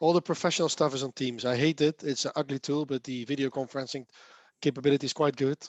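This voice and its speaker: A man with a Dutch accent speaks very fast at a fairly high pitch in a flat monotone, recorded dry and close with no echo against a quiet background. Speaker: software developer and speaker. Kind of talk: casual chat.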